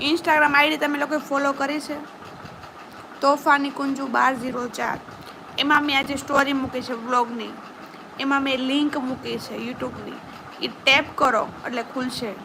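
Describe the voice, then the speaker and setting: A woman's raised, projected voice, high in pitch and monotone and flat, over noticeable background noise. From Gujarat, Saurashtra (Palitana area). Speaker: YouTube vlogger. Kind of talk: live stream chat with viewers.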